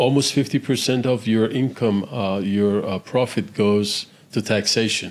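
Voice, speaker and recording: In a very clean recording with a silent background, a man with a normal speaking voice talks at a fairly low pitch with fairly even intonation. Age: 60s. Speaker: real estate investor. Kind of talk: podcast interview.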